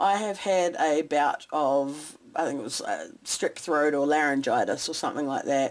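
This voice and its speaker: The voice belongs to a woman with a New Zealand accent. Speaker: soap maker. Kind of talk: tutorial.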